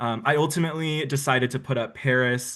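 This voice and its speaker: A man's medium-pitched voice has a bright, sharp tone. The background is quiet. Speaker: online reality game finalist. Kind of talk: opening statement to jury. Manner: fast.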